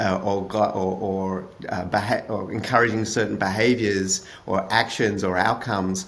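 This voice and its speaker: A man with an Australian accent speaks fairly slowly at a fairly low pitch, in fairly even intonation. Room echo is audible. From Australia (Melbourne). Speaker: author and product manager. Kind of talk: podcast interview. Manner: hesitant, many fillers.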